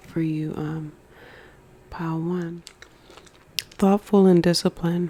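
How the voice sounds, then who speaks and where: A soft-spoken woman with a gentle tone, fairly low pitch, flat monotone intonation, a fairly slow pace and long, frequent pauses. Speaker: ASMR creator, tarot and oracle card reader. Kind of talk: ASMR mukbang card reading, casual talk to camera. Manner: soft, gentle, eating sounds.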